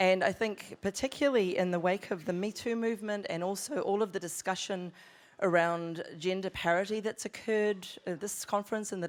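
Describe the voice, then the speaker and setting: A woman with a New Zealand accent at a moderate pace, ordinary pitch variation, in a very clean recording with a silent background. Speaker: screenwriter and panel presenter. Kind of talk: conference panel talk.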